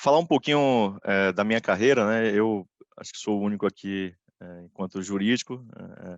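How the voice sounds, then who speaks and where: In a Bahian accent, the speaker's loudness swings widely against a quiet background. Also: man, dry, close sound with no echo. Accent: Bahian Brazilian Portuguese. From Brazil, Bahia (Salvador). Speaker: corporate lawyer, panelist. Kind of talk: webinar presentation. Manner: halting, many fillers.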